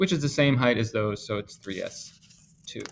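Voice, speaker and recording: This man has an unremarkable speaking voice at a medium pitch, with ordinary pitch variation. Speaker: chemistry teacher. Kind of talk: lecture. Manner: casual.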